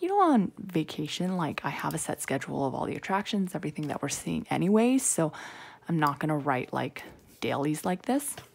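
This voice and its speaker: A soft-spoken woman at a fairly quick pace, on a very clean recording with a silent background. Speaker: planner video creator. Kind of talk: casual tutorial. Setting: temporary room at home. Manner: soft-spoken, quiet; chatty, rambling with fillers.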